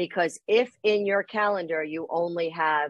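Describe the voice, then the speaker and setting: A woman's fairly low voice at a fairly slow pace, dry and echo-free, over a quiet background. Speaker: guest. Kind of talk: interview answer. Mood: warm, friendly. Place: office. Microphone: video call.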